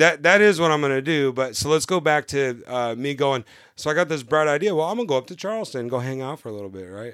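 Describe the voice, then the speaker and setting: Speaking very fast with hardly any pauses, a man with a fairly high pitch swings greatly in loudness on a very clean recording with a silent background. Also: lively intonation. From California. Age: 40s. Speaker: novice liveaboard sailor. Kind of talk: casual interview, storytelling. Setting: aboard a sailboat.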